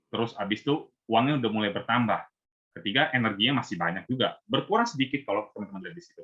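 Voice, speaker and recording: A man at a very fast pace and medium pitch. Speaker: invited speaker at Buddhist youth service. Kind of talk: talk to youth group. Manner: casual, conversational.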